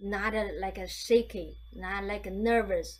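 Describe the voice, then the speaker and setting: The pace is very slow. Room echo can be heard. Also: woman. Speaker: meditation teacher. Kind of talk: guided meditation talk. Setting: video call. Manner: halting, many fillers and repeats.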